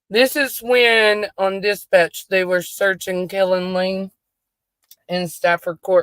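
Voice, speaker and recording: A woman speaks at a medium pitch with a Southern US accent. The sound is dry and close, with no echo. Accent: country Southern. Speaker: true crime YouTuber. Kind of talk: casual commentary while reviewing dispatch audio. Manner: casual, chatty.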